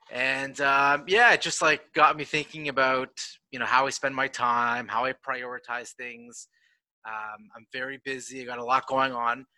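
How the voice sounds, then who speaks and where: With big swings in loudness, a man speaks at medium pitch in a bright, sharp tone with monotone, flat intonation and a dry, close sound with no echo. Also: moderate pace. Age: 30s. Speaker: esports company founder. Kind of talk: casual interview.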